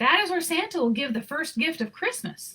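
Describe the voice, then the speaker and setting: A woman uses a put-on character voice. She moves at a fairly quick pace. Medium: read story.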